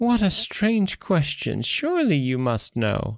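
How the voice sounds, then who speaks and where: A man puts on a character voice, high in pitch with very wide swings. He speaks at a fairly slow pace. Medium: read story.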